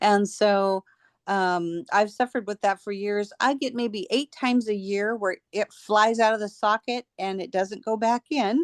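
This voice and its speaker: A woman speaks at a fairly slow pace in an unremarkable speaking voice of medium pitch with ordinary pitch variation. The sound is dry and close, with no echo. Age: 60s. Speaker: person sharing product testimonial. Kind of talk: testimony.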